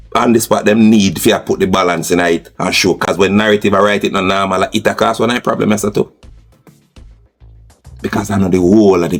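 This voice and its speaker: With a Jamaican accent, a man with a fairly low voice talks at a fairly quick pace as music plays in the background. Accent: Jamaican Patois. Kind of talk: podcast commentary. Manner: passionate, animated.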